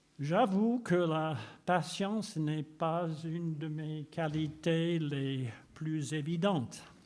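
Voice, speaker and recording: Audible room echo surrounds speech delivered at a very slow pace with ordinary pitch variation. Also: man, fairly high pitch for a man. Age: 80s+. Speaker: preacher. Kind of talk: sermon.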